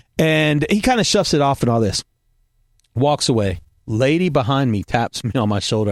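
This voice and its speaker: A man with an American accent, dry and close with no echo, on a very clean recording with a silent background. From US South. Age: middle-aged. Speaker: podcast host, former pastor. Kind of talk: casual chat.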